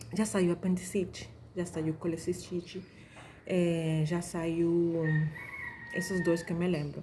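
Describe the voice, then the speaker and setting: Over noticeable background noise, a soft-spoken woman talks fairly slowly in a fairly low, monotone, flat voice. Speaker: doctor teaching exam preparation. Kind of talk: tutorial. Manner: casual, with fillers and restarts.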